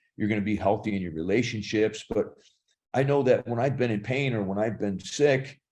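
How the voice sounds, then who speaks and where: Speaking at a moderate pace, a man has an unremarkable speaking voice, medium pitch and ordinary pitch variation. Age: 60s. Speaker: actor and fitness trainer. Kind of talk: podcast interview.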